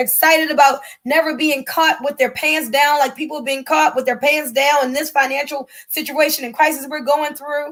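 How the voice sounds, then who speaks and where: The tone is animated. The pace is fairly quick. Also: woman. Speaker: network marketing presenter. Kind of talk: sales pitch. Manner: fast.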